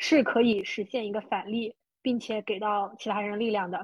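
Recorded very cleanly with a silent background and a dry, close sound with no echo, a woman's fairly high, somewhat breathy voice moves at a fairly slow pace with ordinary pitch variation. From small rural county town in China. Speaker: podcast host and money-making coach. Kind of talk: interview.

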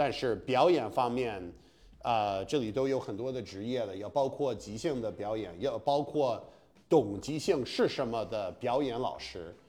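In an English accent, a man with a dark, mellow tone and medium pitch speaks fairly slowly, with big swings in loudness. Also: ordinary pitch variation. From US Northeast, Massachusetts. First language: English (speaking Chinese). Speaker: stand-up comedian. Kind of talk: casual chat. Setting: apartment room. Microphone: slight room echo.

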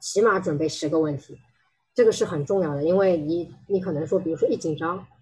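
A woman talks at a fairly quick pace. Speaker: HR technology consultant. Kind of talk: presentation talk. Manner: halting, many fillers.

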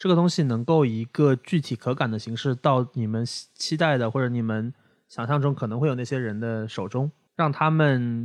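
An unremarkable speaking voice comes through dry and close with no echo against a quiet background, at a moderate pace with ordinary pitch variation. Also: man, medium pitch for a man. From Shanghai. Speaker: podcast host. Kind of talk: casual chat.

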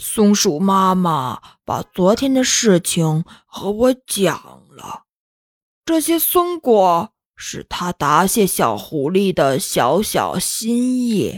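In a put-on character voice, a woman speaks at a slow pace with big pitch swings on a very clean recording with a silent background. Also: medium pitch for a woman.

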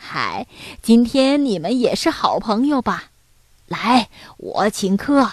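In a put-on character voice, a woman speaks slowly at a fairly high pitch with a slightly husky edge and big pitch swings.

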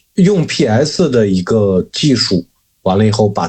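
Somewhat breathy and fairly low-pitched, a man talks at a fairly slow pace with ordinary pitch variation. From Shanxi, China. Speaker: tattoo artist. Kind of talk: casual chat.

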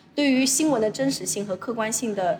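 Noticeable background noise runs through the clip. Over it, a woman speaks at a fairly quick pace. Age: 20s. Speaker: former journalist, now college administrator. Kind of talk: casual interview chat.

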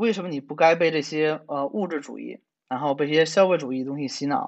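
A man is speaking. His pace is fairly quick. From China. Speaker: programmer and science writer. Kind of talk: casual chat.

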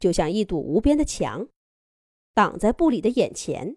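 On a very clean recording with a silent background, a woman speaks at a fairly slow pace in a slightly mellow tone, with big pitch swings.

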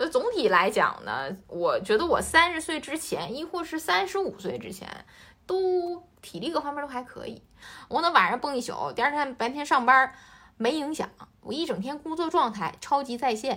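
A woman projects her raised, high-pitched voice in a bright, sharp tone at a moderate pace, with very wide pitch swings and big swings in loudness. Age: 30s. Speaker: podcast co-host, entrepreneur. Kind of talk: casual chat.

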